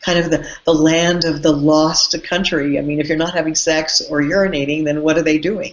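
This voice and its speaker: A woman with a normal speaking voice talks at a moderate pace in a fairly low pitch, her intonation fairly even. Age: 60s. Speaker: tantra teacher. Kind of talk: interview.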